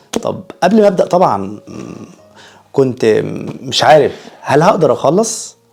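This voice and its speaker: Speaking in an Egyptian accent, a man leaves long, frequent pauses. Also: moderate pace, big swings in loudness. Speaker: YouTuber. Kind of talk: casual vlog monologue. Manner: halting, many fillers.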